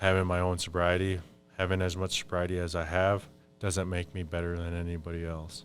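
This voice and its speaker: Over music in the background, a man with an American accent speaks in a very deep, low pitch with monotone, flat intonation. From Minnesota, Fond du Lac reservation. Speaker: Ojibwe spiritual advisor. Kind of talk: podcast interview. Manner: casual, conversational.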